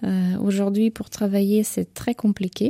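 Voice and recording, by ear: A woman with vocal fry and a dark, mellow tone speaks with little pitch movement in a dry, close sound with no echo. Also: medium pitch for a woman, moderate pace.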